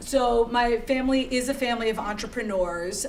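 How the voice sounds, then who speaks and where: A woman speaks with an American accent and ordinary pitch variation. Audible room echo and noticeable background noise surround her voice. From Connecticut, US (Greenwich). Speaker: startup founder, entrepreneur. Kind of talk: fireside chat interview.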